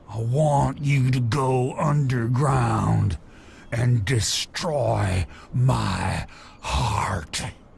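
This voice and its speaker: Doing a put-on character voice, a man growls at a very slow pace with a medium pitch over clear background noise. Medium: video game. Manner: rambling, folksy, chuckling.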